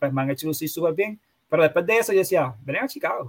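The man's voice is high, with ordinary pitch variation. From Puerto Rico, Bayamón. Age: 30s. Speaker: sports podcaster. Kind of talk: casual chat.

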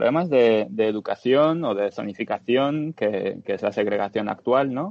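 The voice is an ordinary speaking voice at a moderate pace. Its pitch varies an ordinary amount. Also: man. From Dominican Republic. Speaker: podcast guest. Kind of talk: casual discussion.

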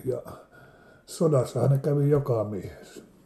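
The voice is dark, mellow and somewhat breathy, moving at a very slow pace with ordinary pitch variation. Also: man. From Finland, Savonlinna area (Saimaa islands). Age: 70s. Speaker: interviewee recalling childhood. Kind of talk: casual reminiscence interview. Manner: halting, with fillers.

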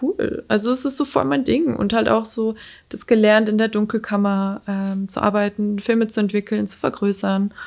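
The woman's voice sits at a medium pitch. She talks at a fairly slow pace. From Lower Franconia, Bavaria. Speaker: freelance photographer and designer. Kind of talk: casual interview. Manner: hesitant, many fillers.

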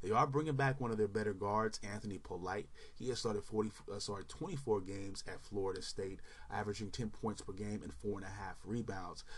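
With an American accent and vocal fry, a man speaks at a fairly quick pace with a fairly low pitch and ordinary pitch variation. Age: 30s. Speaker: sports podcaster. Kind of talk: casual solo commentary. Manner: animated.

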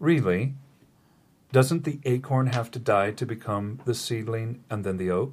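A man speaks slowly-ish, at a fairly slow pace, in a somewhat breathy voice. His pitch is medium with ordinary variation. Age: 60s. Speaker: spiritual podcast host. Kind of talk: casual spiritual chat.

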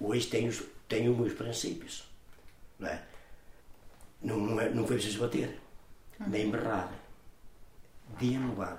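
Noticeable background noise and audible room echo surround a man speaking at a fairly slow pace with long, frequent pauses. His medium pitch carries monotone, flat intonation. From northern Portugal, São Torquato (Guimarães area). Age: 70s. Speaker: community elder, scout movement member. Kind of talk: interview, life story. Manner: halting, with many repetitions and fillers.

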